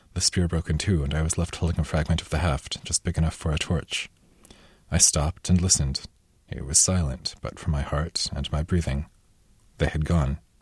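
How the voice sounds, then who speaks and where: At a fairly quick pace, a man speaks in a very deep, low voice with vocal fry and monotone, flat intonation. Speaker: author reading his novel. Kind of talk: literary audiobook reading, first-person narration of a blinded Cyclops's reflections.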